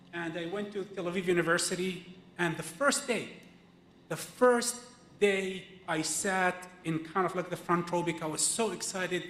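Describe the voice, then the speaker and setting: Noticeable background noise behind a man's high voice, moderate in pace and ordinary in pitch variation. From Israel (Palestinian citizen of Israel). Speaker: activist speaker, filmmaker. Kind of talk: personal testimony at a teach-in. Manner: halting, with many fillers and restarts.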